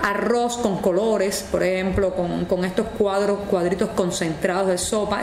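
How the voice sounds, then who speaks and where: A woman of medium pitch talks at a moderate pace with ordinary pitch variation, amid noticeable background noise and audible room echo. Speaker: interviewee in a documentary. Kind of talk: documentary interview.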